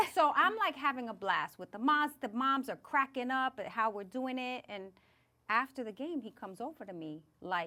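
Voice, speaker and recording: A woman with a New York accent speaks at a moderate pace in a high, bright, sharp, animated voice, with very wide pitch swings and big swings in loudness. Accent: New York (Bronx). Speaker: podcast host. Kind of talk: casual chat.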